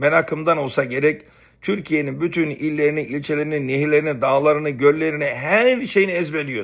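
A man with an unremarkable speaking voice, fairly high in pitch, at a moderate pace, in a very clean recording with a silent background. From Istanbul, Turkey (Beykoz), family from Rize. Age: 50s. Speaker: YouTuber, former student. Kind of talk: personal storytelling monologue.

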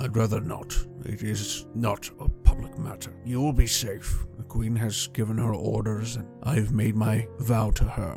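Clear music plays in the background while a man speaks at medium pitch. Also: moderate pace. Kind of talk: grave dramatic speech. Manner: bitter, stern, grieving.

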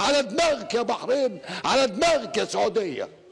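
Over background music, a man shouts at an extremely high pitch with very wide pitch swings. His pace is fairly slow. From Egypt. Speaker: TV host. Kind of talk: TV monologue. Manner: impassioned, shouting. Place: studio. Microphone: lapel.

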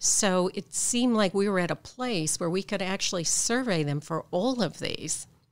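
At a moderate pace, a woman speaks with hardly any pauses. Her voice sits at a medium pitch with ordinary pitch variation. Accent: Midwestern American. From Michigan, US Midwest. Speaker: clinical psychologist and professor. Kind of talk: interview. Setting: hotel room.

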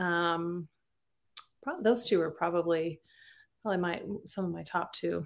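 Against a quiet background, a woman speaks at a fairly slow pace with a fairly low pitch, fairly even intonation and long, frequent pauses. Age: 50s. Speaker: romance novelist; interview guest. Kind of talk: interview. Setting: video call. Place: home room. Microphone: webcam.

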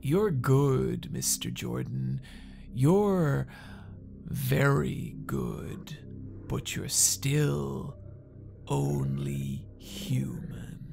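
Over clear music in the background, a put-on character voice moves at a very slow pace with long, frequent pauses. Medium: comedy sketch. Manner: cold, measured, menacing.

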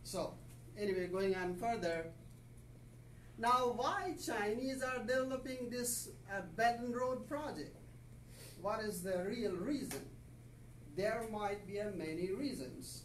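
At a very slow pace with long, frequent pauses, a speaker with a Pakistani accent is heard with audible room echo and light background noise. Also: man. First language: Urdu. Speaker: visiting professor. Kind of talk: lecture. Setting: classroom. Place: classroom. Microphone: camera far.

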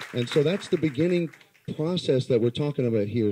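With an American accent, a man talks at a fairly quick pace in a dark, mellow tone with ordinary pitch variation. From US West Coast, Los Angeles. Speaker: community activist. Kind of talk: public speech. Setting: live event with audience. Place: hall. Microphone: handheld.

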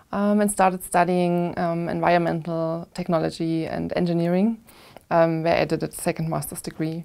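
Dark, mellow tone at a moderate pace, with monotone, flat intonation over a quiet background. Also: woman, fairly low pitch for a woman. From Germany, Plauen in Saxony; Saxony, Germany. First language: German. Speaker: analog astronaut and microbiologist. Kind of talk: interview. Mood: calm, reflective. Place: studio. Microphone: lapel.

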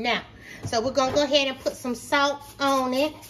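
Faint music plays in the background as a woman speaks in a raised, projected voice at a fairly slow pace. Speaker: home cook vlogger. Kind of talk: casual cooking tutorial. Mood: warm, playful. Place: kitchen. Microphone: phone near.

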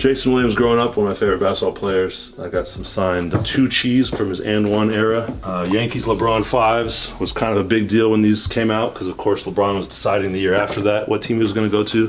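A man at a very fast pace with hardly any pauses, fairly even intonation and light background noise. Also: fairly low pitch for a man. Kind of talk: casual tour commentary. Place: home room.

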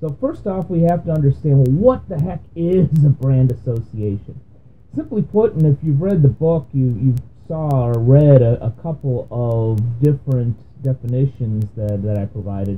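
This man's voice is somewhat breathy. He speaks at a moderate pace. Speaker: business podcast host. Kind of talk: explainer monologue. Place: home room. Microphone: webcam.

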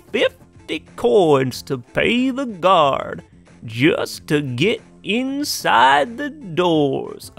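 The speaker uses a put-on character voice at a very slow pace. Faint music plays in the background. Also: man. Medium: game stream. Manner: cheerful, chatty.

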